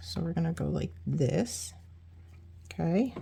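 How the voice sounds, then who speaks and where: Vocal fry marks this woman's speech. She talks at a very deep, low pitch. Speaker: card-making crafter. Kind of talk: tutorial. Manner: casual, chatty.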